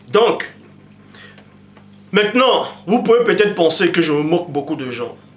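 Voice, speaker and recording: A man speaks at a high pitch with lively intonation and long, frequent pauses. Noticeable background noise and audible room echo surround him. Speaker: preacher. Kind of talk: sermon. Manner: loud; animated.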